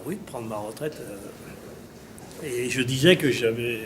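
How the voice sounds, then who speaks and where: A man's voice comes through audible room echo and noticeable background noise. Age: 60s. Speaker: farmer. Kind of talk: interview. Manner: halting.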